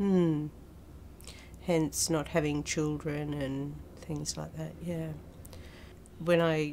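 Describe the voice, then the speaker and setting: A woman with an Australian accent speaks at a moderate pace. Her pitch is very deep and low, and her intonation is monotone and flat. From Australia, Queensland. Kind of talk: personal testimony. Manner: hesitant, with fillers.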